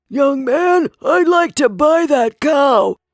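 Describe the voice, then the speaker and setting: An extremely high-pitched put-on character voice from a man, at a very slow pace. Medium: read story.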